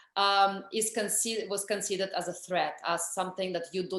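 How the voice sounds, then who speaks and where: A woman speaks with a strong Russian accent and fairly even intonation. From Russia, Moscow. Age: 40s. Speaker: energy healer and author. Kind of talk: interview. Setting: video call.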